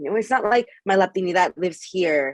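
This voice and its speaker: A woman with an American accent speaks at medium pitch and a fairly quick pace, her intonation lively. The sound is dry and close with no echo. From Mexico. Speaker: author and activist. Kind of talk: panel conversation.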